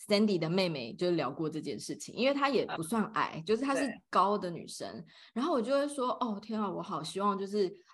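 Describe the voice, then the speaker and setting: A woman's animated, medium-pitched voice at a fairly quick pace, with hardly any pauses and very wide pitch swings. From Taiwan. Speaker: podcast co-host. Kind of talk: casual chat. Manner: animated, frequent laughter.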